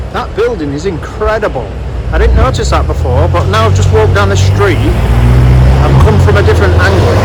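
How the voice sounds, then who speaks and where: Noticeable background noise sits under this recording. A man speaks at a moderate pace with a northern English accent. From northern England. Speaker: walking vlogger. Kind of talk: vlog narration. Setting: outdoors.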